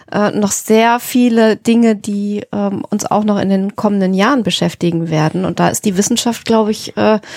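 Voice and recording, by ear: The speaker keeps a moderate pace with few pauses, fairly even intonation and a slightly mellow tone. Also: woman, medium pitch for a woman.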